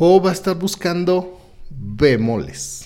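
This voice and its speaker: With a Mexican accent, a man speaks in a dark, mellow tone, his pitch swinging very widely. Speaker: homeopathy school director and host. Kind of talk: educational live-stream chat. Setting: live video stream. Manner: animated.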